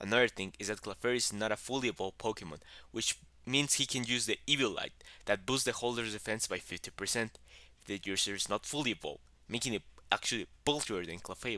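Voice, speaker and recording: In a strong Mexican accent, a man speaks at a very fast pace and a medium pitch, with ordinary pitch variation and a bright, sharp tone. The recording is very clean, with a silent background. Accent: heavy Mexican Spanish. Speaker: YouTuber, gaming content creator. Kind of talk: explainer narration.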